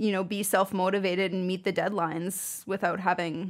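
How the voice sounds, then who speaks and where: With a Canadian accent, a woman speaks at medium pitch in a flat, monotone way over a very clean recording with a silent background. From Saskatchewan, Canada. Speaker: audio engineer and musician. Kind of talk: podcast interview.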